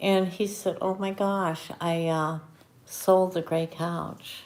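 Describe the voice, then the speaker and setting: A soft-spoken woman at medium pitch. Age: old. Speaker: tarot reader. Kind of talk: live stream tarot reading chat.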